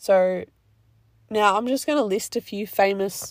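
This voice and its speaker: This woman's pace is fairly slow. Her recording is very clean, and the background is silent. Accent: Australian. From Australia. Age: 20s. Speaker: podcast host. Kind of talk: casual solo talk.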